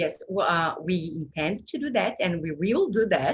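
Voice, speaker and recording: Somewhat breathy speech from a woman, pitched fairly low. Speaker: food science researcher. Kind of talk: Q&A after a seminar presentation. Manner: clear communicator.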